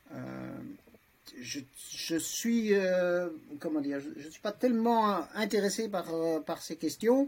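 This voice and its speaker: A man's high-pitched voice at a very slow pace, with lively intonation, big swings in loudness, long, frequent pauses and noticeable background noise. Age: 60s. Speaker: lawyer, transhumanist association vice-president. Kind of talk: podcast discussion. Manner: halting, many hesitations.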